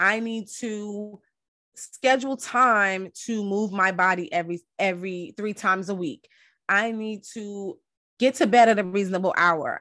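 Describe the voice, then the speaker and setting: Against a quiet background, a woman with a plain, everyday voice speaks at a medium pitch and a fairly slow pace, with ordinary pitch variation and big swings in loudness. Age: 40s. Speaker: podcast host and wellness coach. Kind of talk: casual solo podcast monologue. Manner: conversational with frequent fillers.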